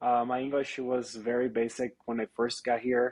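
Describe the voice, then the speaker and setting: At a moderate pace and medium pitch, a man speaks with a Brazilian Portuguese accent in a monotone, flat intonation. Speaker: real estate agent. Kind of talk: interview. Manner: halting.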